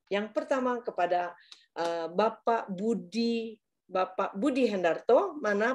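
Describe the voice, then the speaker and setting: Over a quiet background, a woman talks with a plain, everyday voice and ordinary pitch variation. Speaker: webinar moderator. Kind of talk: webinar moderation. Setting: video call. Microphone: video call.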